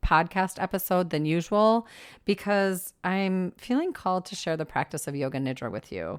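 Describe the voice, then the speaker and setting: A woman speaks at medium pitch with lively intonation and big swings in loudness. The recording is very clean, with a silent background. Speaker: podcast host and meditation guide. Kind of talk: yoga nidra guided meditation. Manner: slow, calm, soothing, with long pauses.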